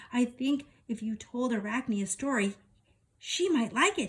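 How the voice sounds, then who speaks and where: At a moderate pace, a woman performs a put-on character voice pitched high. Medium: read story.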